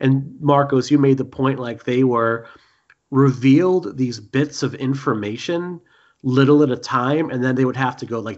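A man speaks at a moderate pace, his medium pitch showing ordinary pitch variation. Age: 40s. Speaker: podcast host. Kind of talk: casual chat.

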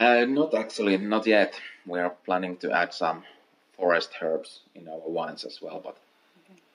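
Talking at a moderate pace with a Finnish accent, a man has a fairly low pitch, ordinary pitch variation and big swings in loudness. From Finland, North Karelia. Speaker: master distiller. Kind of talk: interview. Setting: at the distillery.

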